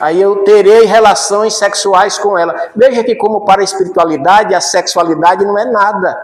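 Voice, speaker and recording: Audible room echo surrounds a man with a high voice and ordinary pitch variation. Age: 60s. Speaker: spiritist lecturer. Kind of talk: lecture.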